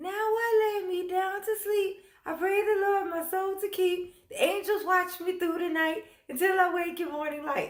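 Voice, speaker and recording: A woman speaks in a put-on character voice. Its pitch is extremely high. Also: moderate pace. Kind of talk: child's bedtime prayer.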